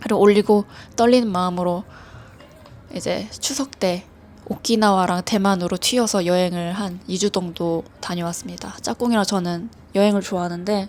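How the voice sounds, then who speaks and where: A woman's relaxed voice at a fairly slow pace, with music in the background. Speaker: illustrator. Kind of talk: casual reflective talk, radio-like. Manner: relaxed, hesitant.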